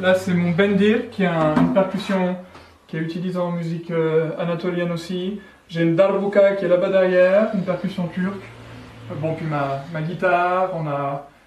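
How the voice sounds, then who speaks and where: With audible room echo and noticeable background noise, a high-pitched man talks at a moderate pace with fairly even intonation and long, frequent pauses. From France, Savoie. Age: 40s. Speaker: musician. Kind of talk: interview. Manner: halting, many hesitations.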